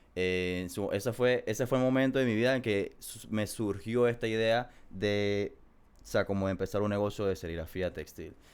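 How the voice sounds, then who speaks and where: A man with a Panamanian accent talks at a moderate pace and a fairly low pitch. The recording is very clean, with a silent background. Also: ordinary pitch variation. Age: 20s. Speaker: small business owner. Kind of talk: casual interview.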